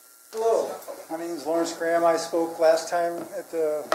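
A man talks at a moderate pace with ordinary pitch variation. Audible room echo and noticeable background noise surround his voice. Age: 60s. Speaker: public commenter, auto body worker. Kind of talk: public comment. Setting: town council meeting.

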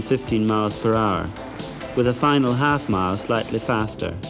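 Music plays in the background as a man speaks with a Scottish accent. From Scotland, Borders. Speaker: retired eventing rider. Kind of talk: instructional narration.

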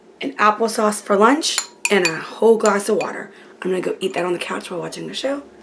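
Noticeable background noise accompanies a woman speaking fairly quickly. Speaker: vlogger. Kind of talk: casual vlog chat. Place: kitchen. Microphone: phone near.

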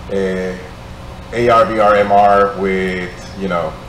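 The recording has audible room echo and light background noise. A man speaks in a fairly low pitch. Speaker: audience member. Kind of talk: audience question. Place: hall. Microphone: camera far.

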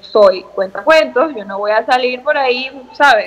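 Her pitch is high for a woman, and this woman's voice shows ordinary pitch variation. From Venezuela. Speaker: beauty queen; interview guest. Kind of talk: casual chat. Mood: cheerful, animated storytelling. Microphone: video call.

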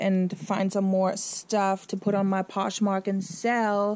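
A woman speaks in a German accent at a very slow pace. Her tone is dark and mellow. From Germany. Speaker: fashion YouTuber. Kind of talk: casual vlog. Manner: animated.

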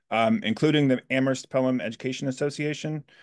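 A man at a very fast pace with fairly even intonation over a quiet background. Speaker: labor union organizer giving public comment. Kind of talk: public comment statement. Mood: formal, earnest advocacy. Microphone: video call.

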